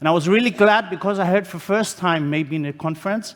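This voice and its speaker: Loud and fairly quick, a man talks with a Greek accent and ordinary pitch variation. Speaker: conference speaker, HR consultant. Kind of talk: conference talk.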